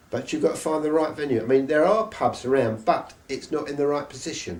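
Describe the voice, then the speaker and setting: Speaking at a fairly quick pace, a man with a fairly high pitch and ordinary pitch variation is heard over noticeable background noise. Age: 70s. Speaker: live music promoter and jazz saxophonist. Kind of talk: interview. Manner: halting.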